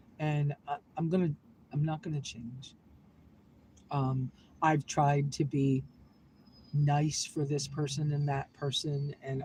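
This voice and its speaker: In an American accent, a woman speaks at a very deep, low pitch and a fairly slow pace. Her tone is dark and mellow, and somewhat breathy. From US Northeast, southern Maine. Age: 60s. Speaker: vlogger. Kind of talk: casual live-stream chat. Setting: inside a vehicle. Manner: emotional, heartfelt.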